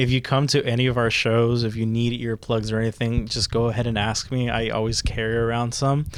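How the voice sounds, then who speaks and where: With monotone, flat intonation, a man speaks at a medium pitch and moderate pace. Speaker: musician in a band. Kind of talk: casual chat. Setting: band rehearsal room. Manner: loud.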